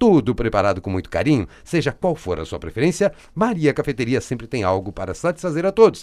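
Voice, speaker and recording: Delivered at a fairly quick pace in an animated tone, the voice shows vocal fry and very wide pitch swings on a very clean recording with a silent background. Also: man, medium pitch for a man. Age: 40s. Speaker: radio host and coach. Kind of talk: live-read ads; radio interview.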